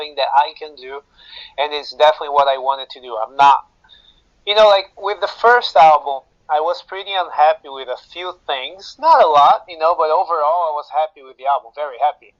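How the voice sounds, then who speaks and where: A man speaks with a Brazilian accent at a fairly high pitch. The sound is dry and close, with no echo. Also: big swings in loudness. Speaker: metal guitarist. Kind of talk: interview. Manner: hesitant, many fillers.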